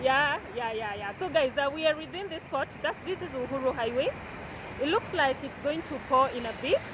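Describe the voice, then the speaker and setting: Shouting loudly at a high pitch, a woman keeps a moderate pace and ordinary pitch variation amid noticeable background noise. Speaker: vlogger. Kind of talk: walking vlog tour. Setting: outdoors on a busy street. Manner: loud, shouting over noise.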